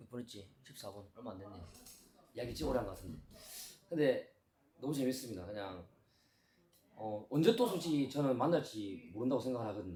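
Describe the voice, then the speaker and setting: With a dark, mellow, somewhat breathy tone, a man talks at a fairly quick pace with lively intonation, big swings in loudness, and long, frequent pauses. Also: medium pitch for a man. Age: 30s. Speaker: judo gym owner, YouTuber. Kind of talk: casual interview.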